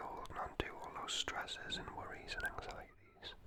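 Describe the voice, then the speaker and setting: Noticeable background noise is present. A woman speaks in a whisper. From North East England (Geordie). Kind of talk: guided breathing and positive affirmations. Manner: whispered, soft-spoken, slow.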